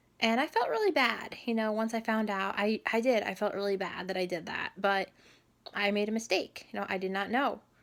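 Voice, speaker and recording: A woman speaks quietly in a fairly high pitch. Her pace is fairly quick. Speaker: vlogger. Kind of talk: personal story vlog.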